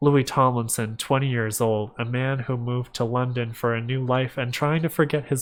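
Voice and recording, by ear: Reading aloud in a natural voice, the intonation fairly even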